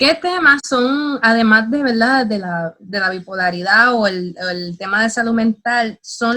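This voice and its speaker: At a very slow pace, a woman speaks with a bright, sharp tone. Her pitch is fairly high, with ordinary pitch variation. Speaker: interviewer. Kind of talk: interview questions.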